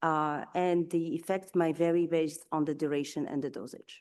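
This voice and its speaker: Moderate pace and a non-native accent against a quiet background. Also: woman. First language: not English. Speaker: nutrition scientist. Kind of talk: conference talk. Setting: conference session. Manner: halting, many fillers.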